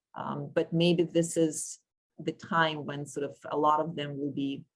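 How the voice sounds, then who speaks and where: A woman with a Russian accent speaks at a fairly slow pace. Her voice is very deep and low, with flat, monotone intonation. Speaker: panel chair, sociology professor. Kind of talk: moderating an academic panel discussion. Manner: halting, many fillers and self-corrections.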